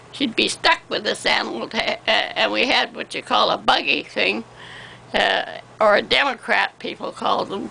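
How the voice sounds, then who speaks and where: Speech from a woman at a moderate pace amid noticeable background noise. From Canada. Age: 80s+. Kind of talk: interview answer.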